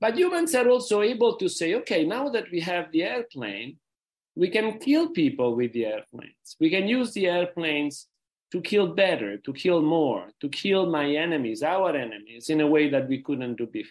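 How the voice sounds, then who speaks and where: This voice has an Italian accent, moves at a moderate pace and makes very wide pitch swings. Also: man, high pitch for a man. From Rome, Italy. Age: 60s. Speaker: peace foundation president. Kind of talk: interview. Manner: halting.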